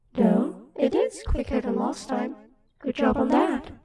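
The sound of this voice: A woman uses a put-on character voice that is raspy and high-pitched. She talks at a moderate pace with a slight echo.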